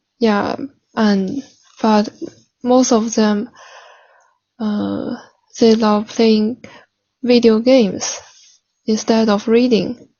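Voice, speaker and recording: A woman with a Chinese accent, fairly high-pitched and somewhat breathy, in a flat monotone at a very slow pace with long, frequent pauses. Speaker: language learner practising for a speaking exam. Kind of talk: mock speaking exam. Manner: halting.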